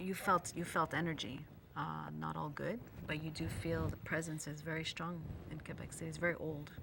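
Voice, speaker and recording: With audible room echo around her, a woman talks at a fairly quick pace. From Luxembourg, immigrated to Canada as a child. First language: Italian. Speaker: spiritual healer and medium. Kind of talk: casual chat.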